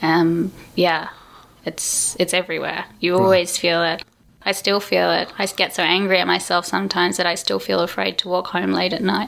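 A woman with an Australian accent talks at a moderate speed. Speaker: performance artist. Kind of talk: interview.

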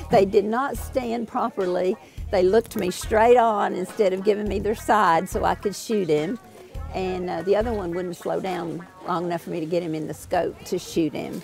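A woman talks at a moderate pace with ordinary pitch variation. Clear music sits in the background, and the sound is dry with no echo. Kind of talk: interview answer. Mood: excited, laughing, enthusiastic. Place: open country.

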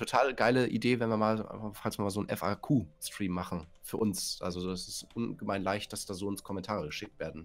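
Over music in the background, a man speaks in a fairly low voice. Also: ordinary pitch variation, moderate pace, hardly any pauses. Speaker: co-builder, fellow gaming youtuber. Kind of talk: casual gaming chat.

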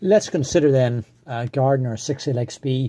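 Somewhat breathy and dark, mellow in tone, the voice moves at a very slow pace with ordinary pitch variation over a quiet background. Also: man. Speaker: engine enthusiast video maker. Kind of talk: technical explainer tutorial.

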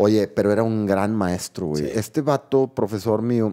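There is a dark, mellow tone to this man's voice, heard over a quiet background. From Mexico. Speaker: podcast co-host. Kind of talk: casual chat. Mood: relaxed, storytelling. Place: studio. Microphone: studio mic.

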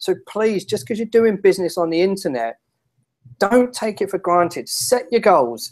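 Speaking with a London accent at a moderate pace, a man uses lively intonation against a quiet background. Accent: English (London area). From England. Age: 30s. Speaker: internet marketing strategist; guest. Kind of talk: interview. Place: home room.

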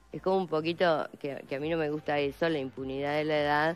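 A woman's low, clear, smooth voice at a fast pace with fairly even intonation

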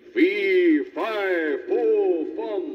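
A bellowing put-on character voice from a man, extremely high in pitch, over light background noise

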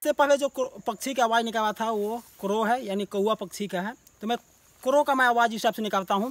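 The voice keeps a fairly even intonation, recorded with a dry, close sound and no echo. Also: man, extremely high pitch for a man, moderate pace. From Jharkhand, India. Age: 30s. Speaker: bird sound imitator. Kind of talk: interview testimony.

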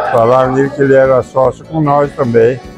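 Over faint background music, a man talks at a moderate pace with a medium pitch. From southern Brazil. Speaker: cattle drover. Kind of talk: interview answer. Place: hall.

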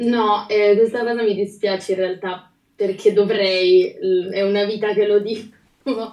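At a fairly slow pace, a woman speaks in a medium-pitched, monotone voice with flat intonation, against a quiet background with audible room echo. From Liguria, Italy. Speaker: singer; guest. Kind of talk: casual interview. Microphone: video call.

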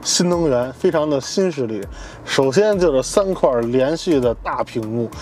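Light background noise sits under a man's voice, which has a dry sound with no echo. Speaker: car reviewer. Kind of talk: car review commentary. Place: car.

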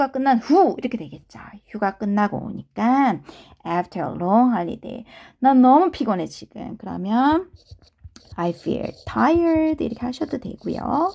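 This very clean recording, with a silent background, carries a voice whose pitch swings very widely. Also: woman. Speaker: English conversation teacher. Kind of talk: lecture.

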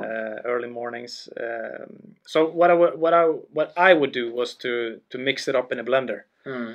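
A man with a Swedish accent talks at a fairly slow pace with hardly any pauses, big swings in loudness and ordinary pitch variation over a quiet background. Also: medium pitch for a man. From Sweden, Karlstad, Värmland; Sweden. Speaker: former hockey pro and entrepreneur; podcast guest. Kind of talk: interview. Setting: studio. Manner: halting. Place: studio. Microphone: studio mic.

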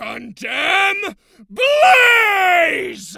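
An extremely high-pitched, put-on character voice carries this clip. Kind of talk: character audition reel. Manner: shouting.

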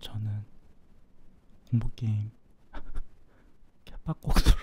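Someone is whispering. The words come very slowly. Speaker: gaming streamer. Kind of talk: live game commentary. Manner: quiet, soft-spoken.

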